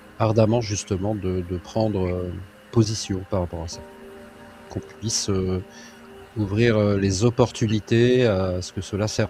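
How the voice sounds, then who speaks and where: Over music in the background, a man talks at a fairly low pitch and a fairly slow pace, leaving long, frequent pauses. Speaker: hypnotherapist. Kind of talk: hypnosis session. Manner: loud.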